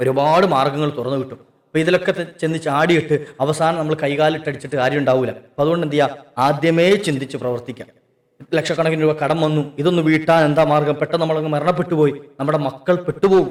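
A man with an ordinary speaking voice, fairly high in pitch, talks with fairly even intonation. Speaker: Islamic preacher. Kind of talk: religious talk.

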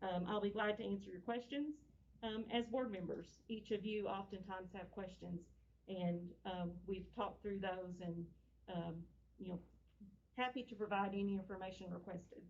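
With an American accent, a woman speaks at medium pitch with ordinary pitch variation and long, frequent pauses. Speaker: school district official. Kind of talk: board meeting presentation. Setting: meeting room, speaking through a face mask. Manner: fast.

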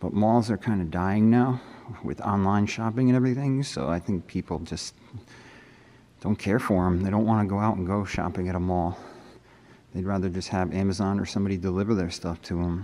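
Over light background noise, a man talks at a fairly quick pace and fairly low pitch with ordinary pitch variation. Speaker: urban explorer vlogger. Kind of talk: casual vlog chat. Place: hall. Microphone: phone near.

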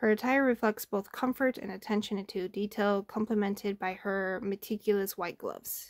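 A woman's mumbling at a moderate pace and medium pitch, with fairly even intonation, hardly any pauses, and a quiet background. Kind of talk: reading a game story aloud. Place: home room. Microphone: phone near.

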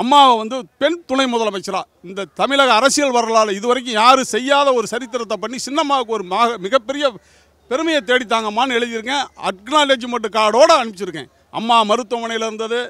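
A man speaks in a raised, projected voice at an extremely high pitch. His tone is bright and sharp, with ordinary pitch variation. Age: 60s. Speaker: party supporter. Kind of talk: interview.

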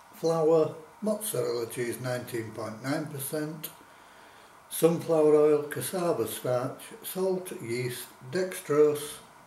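A man at a very slow pace with ordinary pitch variation, amid light background noise and audible room echo. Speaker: food reviewer. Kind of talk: casual vlog chat. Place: kitchen. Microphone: camera far.

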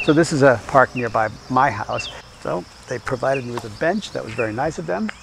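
Noticeable background noise sits behind a man whose sound is dry with no echo. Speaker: tai chi instructor. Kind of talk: tutorial. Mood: calm, soothing. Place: garden.

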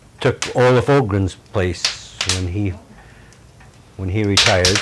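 A man with an American accent speaks in a fairly low pitch with ordinary pitch variation. Noticeable background noise can be heard. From US Midwest (northern Michigan). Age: 70s. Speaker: elderly local resident interviewed for oral history. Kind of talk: oral history interview. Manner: halting.

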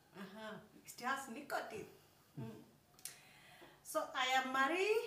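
A woman's raised, projected voice, high-pitched with a bright, sharp tone, very wide pitch swings and a fairly slow pace, amid audible room echo. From Kenya, rural village. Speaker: YouTuber, couple vlogger. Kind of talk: casual chat. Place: home room. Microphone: phone near.

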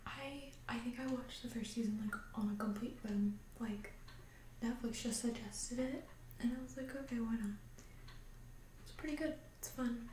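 A soft-spoken woman talks at a moderate pace in a high pitch, with a dark, mellow tone and fairly even intonation. She leaves long, frequent pauses. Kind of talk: ASMR roleplay, casual chat to camera. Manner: soft-spoken, calming.

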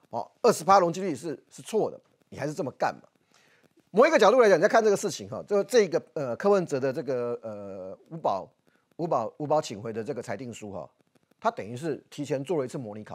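Over a quiet background, the speaker goes at a very fast pace with vocal fry. Pitch swings very widely, and loudness swings a lot. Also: man, fairly high pitch for a man. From Taiwan. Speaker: political commentator. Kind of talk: TV political talk show discussion. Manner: animated. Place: studio.

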